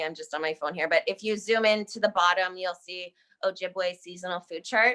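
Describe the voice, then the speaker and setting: At medium pitch, a woman with a bright, sharp tone speaks at a moderate pace with fairly even intonation. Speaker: graduate student presenter. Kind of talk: academic presentation.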